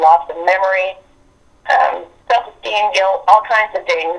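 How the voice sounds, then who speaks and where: A woman speaks at a fairly slow pace with an Appalachian accent. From West Virginia. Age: 60s. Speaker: abuse survivor sharing experiences. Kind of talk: interview testimony. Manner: halting.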